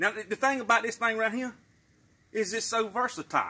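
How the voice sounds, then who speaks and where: In a Southern US accent, a man talks very fast in a raised, projected voice that is high-pitched for a man, with a bright, sharp tone. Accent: Southern American, rural. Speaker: YouTube creator, promoting wife's Pampered Chef party. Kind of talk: casual talk to camera, product promotion. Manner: folksy, jokey, chatty.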